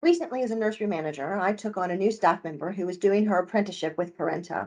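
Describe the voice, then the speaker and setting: Speaking with an American accent, a woman talks at a very fast pace with ordinary pitch variation. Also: medium pitch for a woman. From United States. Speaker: early years tutor, former nursery manager. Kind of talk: testimonial.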